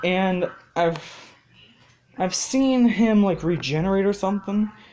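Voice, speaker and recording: A woman's medium-pitched voice with lively intonation at a fairly slow pace, music in the background. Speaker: video creator sharing fan ideas. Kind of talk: casual monologue. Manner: hesitant, many fillers.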